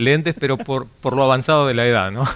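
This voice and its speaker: Speaking at a fairly quick pace, a man talks in a medium-pitched voice. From Argentina, Santa Fe province (Cañada de Gómez). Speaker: radio announcer. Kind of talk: testimony. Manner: hesitant with many fillers.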